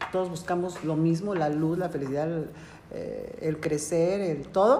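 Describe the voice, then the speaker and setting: A moderate pace in a Mexican accent, with audible room echo. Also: woman. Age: 40s. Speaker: podcast host. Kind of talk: casual chat.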